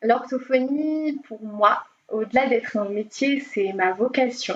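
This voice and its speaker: Very slowly, a woman speaks at a high pitch. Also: ordinary pitch variation. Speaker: speech therapist. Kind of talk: podcast interview.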